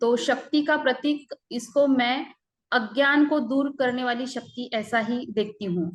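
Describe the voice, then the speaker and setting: This woman has a high-pitched voice with ordinary pitch variation and a Marathi accent. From Maharashtra, Buldhana district. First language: Marathi (speaking Hindi). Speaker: civil servant, guest speaker. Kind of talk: online lecture. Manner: halting, many fillers.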